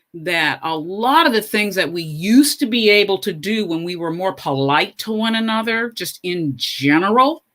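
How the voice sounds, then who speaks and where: A woman's bright, sharp voice with lively intonation at a fairly slow pace, on a very clean recording with a silent background. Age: 70s. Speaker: professor and education panelist. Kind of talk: panel discussion. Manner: emphatic.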